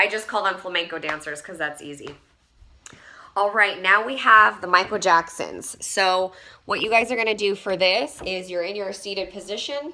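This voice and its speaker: A woman with a medium-pitched voice speaks at a moderate pace in an animated tone, her pitch varying in an ordinary way while her loudness swings widely. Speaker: fitness coach. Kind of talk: tutorial.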